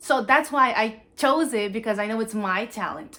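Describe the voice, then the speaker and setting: With a strong Cape Verdean accent, a woman speaks at a moderate pace in a bright, sharp tone, her fairly high pitch carried by lively intonation. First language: Cape Verdean Creole. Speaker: university student. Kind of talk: talent show presentation.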